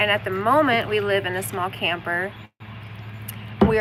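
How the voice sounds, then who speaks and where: A woman with an American accent, a medium pitch and vocal fry. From US South, Arkansas. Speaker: homesteading and spirituality vlogger. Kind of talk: casual live stream chat. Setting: outdoors, floating in a kayak on a pond.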